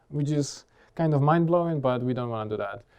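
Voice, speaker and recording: A man with an unremarkable speaking voice talks at a fairly quick pace with a fairly high pitch and ordinary pitch variation. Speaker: conference speaker. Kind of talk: technical conference talk.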